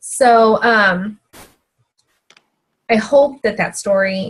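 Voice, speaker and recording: A woman's somewhat breathy voice unfolds very slowly. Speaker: fitness team coach. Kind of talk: team call talk.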